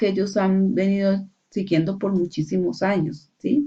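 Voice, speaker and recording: Her tone dark and mellow, a woman speaks very slowly at medium pitch. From Colombia, Valle del Cauca (Palmira). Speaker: university student. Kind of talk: class assignment presentation. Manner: hesitant, many fillers.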